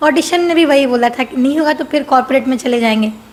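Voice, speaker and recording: Soft-spoken woman with ordinary pitch variation against noticeable background noise. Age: 20s. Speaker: singing contestant. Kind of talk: casual interview.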